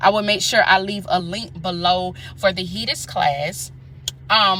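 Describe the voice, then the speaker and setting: A woman talks in an animated tone against noticeable background noise. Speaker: nurse and career coach. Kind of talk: casual vlog with sales pitch. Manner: fast.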